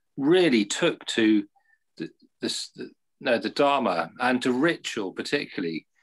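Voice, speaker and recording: Against a quiet background, a man with an English accent speaks at a fairly slow pace and medium pitch, with vocal fry and very wide pitch swings. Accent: English, posh. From England. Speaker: Buddhist community leader. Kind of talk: interview. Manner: halting.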